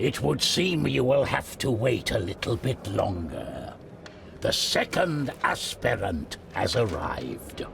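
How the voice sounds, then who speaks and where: A man's put-on character voice at medium pitch and a fairly slow pace, over clear background noise. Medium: video game. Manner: authoritative.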